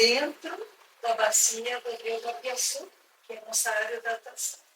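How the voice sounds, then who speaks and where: A woman with an Argentine accent speaks fairly slowly in a bright, sharp tone, her intonation fairly even and her loudness swinging widely. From Argentina. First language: Spanish (speaking Portuguese). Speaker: conservation reserve executive. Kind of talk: interview. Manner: halting, many fillers.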